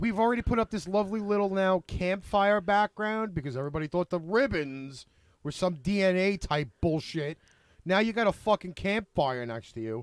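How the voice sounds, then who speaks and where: On a very clean recording with a silent background, a man with a strong Brooklyn accent talks at a moderate pace in a high pitch with lively intonation, the sound dry and close with no echo. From Brooklyn, New York. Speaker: online show host. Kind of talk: casual chat.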